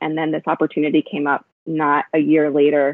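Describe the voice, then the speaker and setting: Speaking at a moderate pace, a woman with an American accent has a very deep, low pitch. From South Texas. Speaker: learning and development professional. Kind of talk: casual interview conversation. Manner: halting, many fillers.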